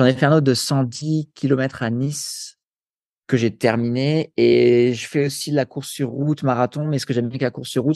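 A man's dark, mellow voice at medium pitch and moderate pace, with ordinary pitch variation, in a dry, close sound with no echo. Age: 30s. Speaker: sports nutrition coach and endurance athlete. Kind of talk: interview conversation. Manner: casual, filler-heavy.

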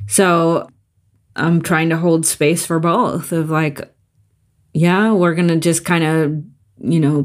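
A plain, everyday voice speaks at a fairly slow pace in fairly even intonation on a very clean recording with a silent background. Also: woman. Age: 50s. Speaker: podcast co-host in addiction recovery. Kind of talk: casual chat. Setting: home recording.

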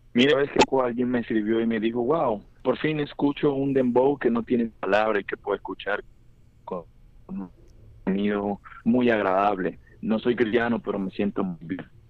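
At a moderate pace, a man with a Colombian accent talks in a medium pitch with ordinary pitch variation. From Colombia, Buenaventura, Valle del Cauca. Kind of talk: interview. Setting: phone call.

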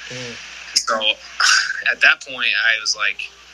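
A man with an American accent speaks at a fairly quick pace over noticeable background noise. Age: 30s. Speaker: professional baseball pitcher. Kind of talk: interview. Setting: video call.

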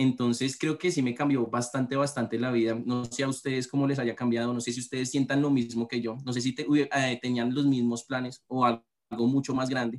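A man's medium-pitched, flat monotone at a fairly quick pace, with hardly any pauses. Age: 20s. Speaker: recent university graduate. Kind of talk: casual chat.

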